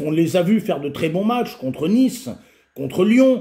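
A man talks at a moderate pace with a dark, mellow tone. His voice is somewhat breathy and makes very wide pitch swings. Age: 50s. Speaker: football video commentator and youth football coach; football video commentator, youth football coach. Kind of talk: casual solo video commentary. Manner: halting, frequent repetitions and fillers. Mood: frustrated, critical. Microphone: webcam.

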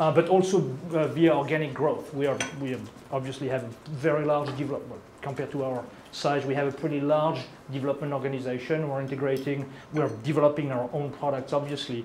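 A man with a French accent talks at a fairly quick pace in a fairly high, monotone voice with flat intonation, over noticeable background noise. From France. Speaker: product management lead. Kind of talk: product presentation. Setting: presentation room with live audience. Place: meeting room.

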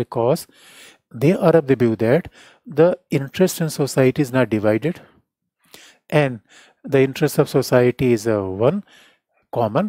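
Over a quiet background with dry, echo-free sound, a man with a dark, mellow tone and medium pitch talks at a moderate pace, his intonation lively and his pauses long and frequent. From India. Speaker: political science teacher. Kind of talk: lecture. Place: studio. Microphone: headset.

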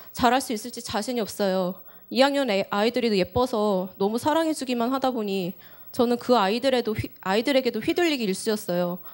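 Against a quiet background, a woman talks at a fairly quick pace. Her fairly high voice has ordinary pitch variation. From South Korea. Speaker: elementary school teacher; teacher giving testimony. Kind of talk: testimony. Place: church. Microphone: handheld.

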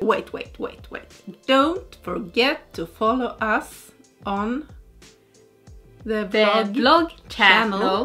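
A put-on, robotic character voice moves at a very slow pace with long, frequent pauses, faint music playing in the background. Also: woman, fairly high pitch for a woman. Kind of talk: casual vlog chat.

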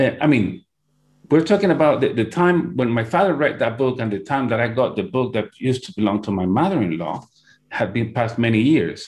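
Against a quiet background, a man with a Spanish accent talks at a fairly quick pace, somewhat breathy, with very wide pitch swings. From Peru. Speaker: hypnotherapist and hypnosis teacher. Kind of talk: interview. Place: home room. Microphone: earbuds.

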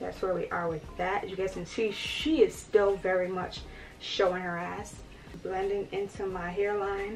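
A woman talks at a moderate pace, faint music audible behind her. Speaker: beauty influencer. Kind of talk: casual talk to camera. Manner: chatty, relaxed. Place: home room.

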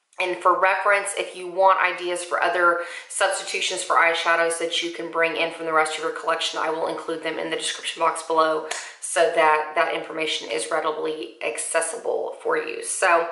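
Talking at a fairly quick pace, a woman keeps a monotone, flat intonation amid audible room echo. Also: fairly low pitch for a woman. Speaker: beauty vlogger. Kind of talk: makeup tutorial chat. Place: home room.

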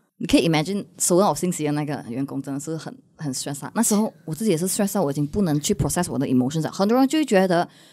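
A woman's fairly low, dark, mellow voice at a very fast pace, with lively intonation, hardly any pauses and a quiet background. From Malaysia. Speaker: content creator. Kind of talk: casual chat. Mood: candid, reflective storytelling. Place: studio. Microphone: studio mic.

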